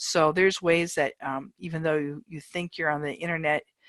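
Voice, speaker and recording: A woman speaks at a moderate pace in a fairly low pitch, a normal speaking voice. The sound is dry and close, with no echo. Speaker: online college professor. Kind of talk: lecture. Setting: video call.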